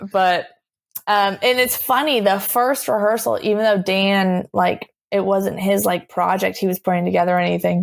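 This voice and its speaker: A woman's plain, everyday voice with an American accent, medium in pitch with ordinary pitch variation, at a moderate pace and very even loudness, on a very clean recording with a silent background. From US Northeast, Boston area. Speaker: punk band member. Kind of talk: casual interview chat.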